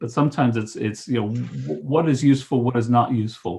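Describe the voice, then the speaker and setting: A man's medium-pitched voice in a Texan accent. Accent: American, Texan. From Texas. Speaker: resilience trainer and coach. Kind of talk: webinar presentation. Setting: online webinar. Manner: halting, many fillers.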